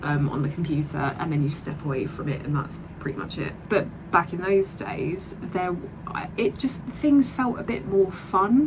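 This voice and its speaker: Over noticeable background noise, a woman with a southern English accent speaks at a moderate pace in a fairly low pitch with lively intonation. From Southeast England. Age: 20s. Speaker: vlogger and digital artist. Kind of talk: casual vlog chat. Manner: hesitant, many fillers.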